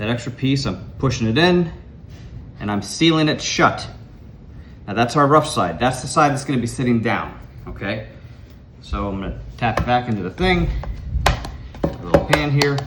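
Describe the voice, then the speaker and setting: In a room with audible echo, a man talks at a moderate pace and medium pitch, leaving long, frequent pauses. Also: lively intonation. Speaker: home cooking instructor. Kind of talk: cooking tutorial. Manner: casual.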